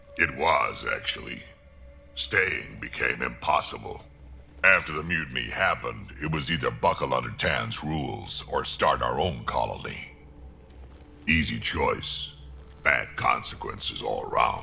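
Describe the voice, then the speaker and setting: Putting on a character voice, a man speaks at a moderate pace. Clear background noise runs underneath. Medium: video game. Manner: gruff, blunt.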